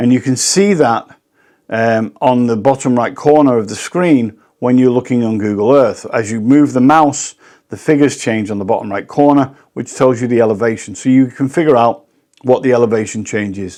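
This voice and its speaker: A British accent comes through in a dark, mellow tone at a moderate pace. The pitch varies in an ordinary way against a quiet background. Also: man. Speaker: professional drone pilot. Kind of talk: tutorial.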